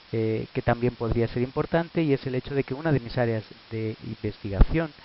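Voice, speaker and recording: Here a man speaks at a medium pitch. His pace is moderate, and his pitch varies in an ordinary way. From Spain, Madrid. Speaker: professor. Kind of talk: lecture. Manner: halting, many filler sounds.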